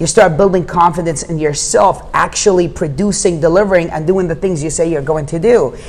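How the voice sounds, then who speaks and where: A man with a high pitch, an animated tone and a fairly quick pace, hardly any pauses, and noticeable background noise. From Jordan. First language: Arabic. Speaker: real estate investor. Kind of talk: podcast interview. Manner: fast, animated.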